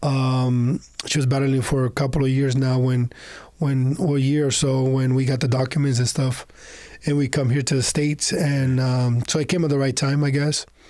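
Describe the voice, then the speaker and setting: In a Spanish accent, a man talks at a moderate pace and medium pitch, his intonation monotone and flat and his loudness very even. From Honduras. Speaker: entrepreneur. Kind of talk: podcast interview. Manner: halting, with many fillers.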